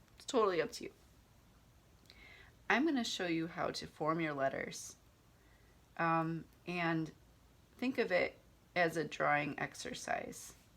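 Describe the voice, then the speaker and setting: A woman with a fairly low pitch speaks at a fairly slow pace with lively intonation and long, frequent pauses. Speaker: handwriting teacher. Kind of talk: tutorial. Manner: hesitant.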